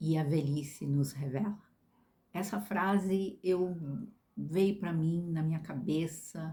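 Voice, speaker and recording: A dark, mellow tone comes through somewhat breathy, with lively intonation. The pace is very slow. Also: woman. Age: 60s. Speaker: vlogger. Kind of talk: casual monologue. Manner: halting.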